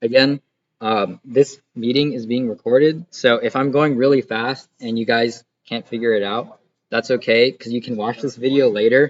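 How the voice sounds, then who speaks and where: Here is an ordinary speaking voice: a man at a medium pitch and moderate pace. His intonation stays fairly even, and the sound is dry and close with no echo. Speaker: student CAD instructor. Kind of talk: tutorial. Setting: online class recording.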